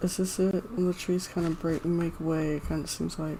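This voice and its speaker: A quiet woman's voice, fairly low in pitch, with noticeable background noise. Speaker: gaming streamer. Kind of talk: live gameplay commentary. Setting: live stream. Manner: quiet, low-key.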